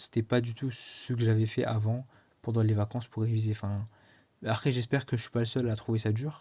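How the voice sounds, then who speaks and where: A man speaks at a medium pitch in a somewhat breathy voice with a dark, mellow tone. His intonation is flat and monotone, and the background is quiet. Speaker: student vlogger. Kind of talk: casual vlog. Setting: speaking to camera. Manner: hesitant, many fillers.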